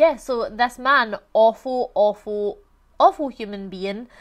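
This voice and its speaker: A woman's fairly high voice in a Glaswegian accent, with ordinary pitch variation. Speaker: YouTuber discussing true crime and controversies. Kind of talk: casual true crime commentary. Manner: conversational, animated.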